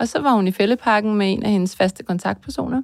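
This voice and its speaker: Her voice is a normal speaking voice, a woman's at a medium pitch with ordinary pitch variation. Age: 50s. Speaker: mother of a psychiatric patient. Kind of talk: testimony.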